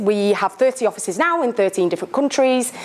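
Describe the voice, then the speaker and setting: A woman talks with normal pitch movement while noticeable background noise plays behind her. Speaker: sponsor company representative. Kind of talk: sponsor talk to live audience. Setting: meetup room with audience. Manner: loud.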